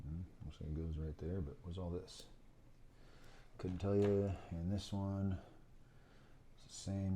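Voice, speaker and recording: Mumbling at a moderate pace, a man with a very deep, low, somewhat breathy voice and a dark, mellow tone keeps his intonation fairly even. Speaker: FPV drone hobbyist. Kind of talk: casual build narration to camera. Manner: mumbling, casual.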